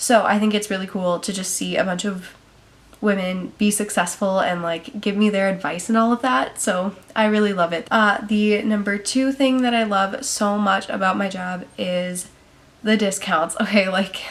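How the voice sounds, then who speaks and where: A woman speaks at a moderate pace with fairly even intonation. Noticeable background noise sits behind her. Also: medium pitch for a woman. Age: young. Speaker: vlogger, salon front desk worker. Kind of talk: casual vlog to camera. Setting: talking to camera. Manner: chatty, casual.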